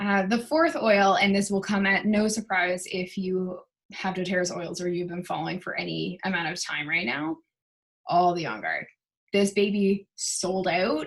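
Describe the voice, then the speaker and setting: A woman at medium pitch, moderate pace and ordinary pitch variation. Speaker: essential oils seller and wellness vlogger. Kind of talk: casual product chat to camera. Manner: animated.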